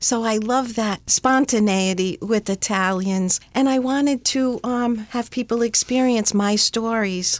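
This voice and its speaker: In an American accent, an unremarkable speaking voice moves at a fairly slow pace, with very even loudness and fairly even intonation. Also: woman, fairly high pitch for a woman. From US Northeast, Rhode Island. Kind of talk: interview. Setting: studio.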